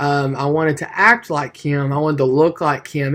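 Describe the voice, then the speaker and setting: The speaker has an East Tennessee accent and talks at a moderate pace. The recording is very clean, with a silent background. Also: man. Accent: Southern US (East Tennessee). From Tennessee (Maryville). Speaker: student preacher. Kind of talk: class speech. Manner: hesitant, many fillers.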